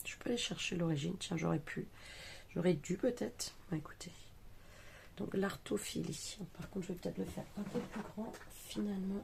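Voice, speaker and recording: A woman mumbles quietly at a moderate pace with vocal fry and lively intonation, leaving long, frequent pauses. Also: medium pitch for a woman. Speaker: craft youtuber. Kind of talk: craft tutorial. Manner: mumbling, quiet. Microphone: too quiet.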